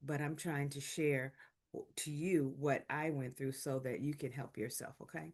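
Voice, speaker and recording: Speaking at a moderate pace, a woman with a very deep, low voice keeps her intonation fairly even. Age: 60s. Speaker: health video host, heart attack survivor. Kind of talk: informal health talk to camera. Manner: casual, halting with fillers.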